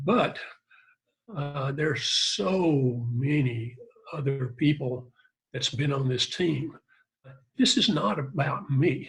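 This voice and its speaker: Pitched fairly high, a man speaks at a very slow pace with long, frequent pauses. He sounds somewhat breathy, with ordinary pitch variation. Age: 70s. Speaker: fitness test creator. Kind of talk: interview. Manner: halting.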